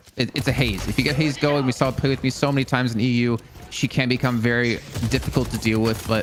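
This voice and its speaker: A man with an American accent at medium pitch, very fast, his intonation fairly even. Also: very even loudness. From US South, Arkansas. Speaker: esports analyst. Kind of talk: live esports commentary.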